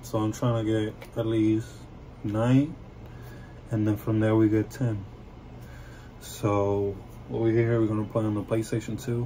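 A man speaks fairly slowly in a fairly low pitch, with a dark, mellow tone and a somewhat breathy quality. His intonation is fairly even, with long, frequent pauses over light background noise. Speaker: gamer. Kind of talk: casual gameplay commentary. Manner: hesitant, many fillers. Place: home room. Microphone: phone near.

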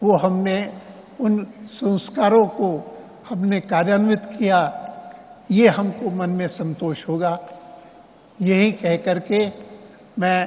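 A man with a high-pitched voice talks very slowly. He leaves long, frequent pauses. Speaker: senior politician. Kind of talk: memorial speech. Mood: emotional, solemn. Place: stadium. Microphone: podium.

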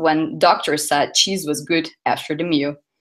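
A woman speaks at a moderate pace with a Portuguese accent. Her pitch is fairly low, and the background is quiet. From southern Brazil. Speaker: UX designer, conference speaker. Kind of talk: conference talk. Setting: stage with audience. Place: hall.

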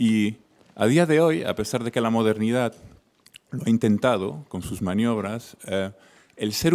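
This man has a plain, everyday voice and lively intonation. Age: young. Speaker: audience member. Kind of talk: audience question.

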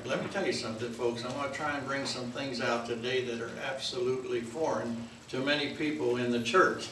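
Light background noise and audible room echo around a man, moderately paced, pitch varying in an ordinary way. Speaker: pastor. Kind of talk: sermon. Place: church. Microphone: camera far.

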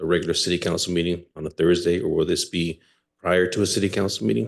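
A very fast, quiet man's voice, very deep and low, with vocal fry and ordinary pitch variation. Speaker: mayor. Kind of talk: council meeting discussion. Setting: city council chamber.

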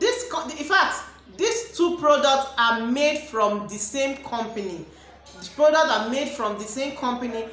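Over light background noise and audible room echo, a woman speaks at a high pitch and moderate pace, with very wide pitch swings and big swings in loudness. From Nigeria. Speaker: beauty product reviewer and cosmetics seller; beauty product reviewer, cosmetics seller. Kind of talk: product review vlog. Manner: animated. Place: home room. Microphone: phone near.

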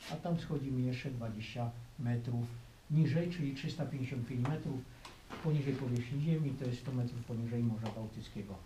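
A man's fairly even intonation and fairly quick pace come through noticeable background noise. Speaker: mine tour guide. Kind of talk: guided tour explanation. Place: tunnel cave.

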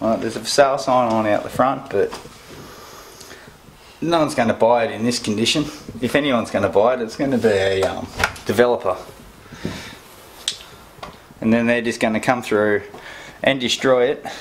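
With long, frequent pauses, a man speaks at a moderate pace and fairly even intonation over light background noise. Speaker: urban explorer vlogger. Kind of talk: casual vlog chat. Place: home room. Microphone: phone near.

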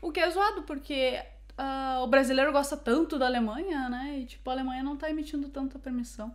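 Against a quiet background, a woman talks with a high pitch and ordinary pitch variation. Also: fairly quick pace. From Brazil. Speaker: YouTuber living abroad. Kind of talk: casual chat. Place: home room.

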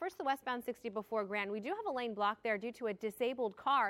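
The woman's delivery moves at a very fast pace. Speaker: TV traffic reporter. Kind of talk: broadcast traffic report. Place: studio. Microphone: lapel.

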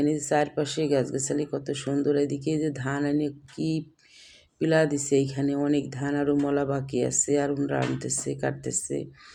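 A woman's very deep, low voice in a dark, mellow tone, monotone and flat, on a very clean recording with a silent background. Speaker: cooking vlogger. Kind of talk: vlog narration. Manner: casual, chatty.

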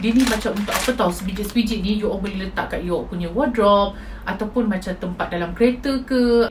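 A woman speaks at a moderate pace. Noticeable background noise runs behind her. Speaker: haul vlogger. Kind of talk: casual vlog chat. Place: home room. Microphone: phone near.

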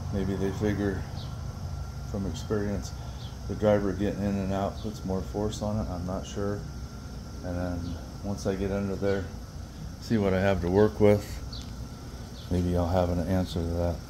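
Against noticeable background noise, a man with a very deep, low pitch speaks at a moderate pace with fairly even intonation and long, frequent pauses. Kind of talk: tutorial. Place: garage. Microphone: phone near.

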